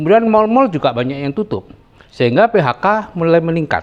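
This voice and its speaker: A man talks at a moderate pace, his voice making very wide pitch swings. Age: 70s. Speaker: retired doctor giving financial talk. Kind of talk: talk to an audience.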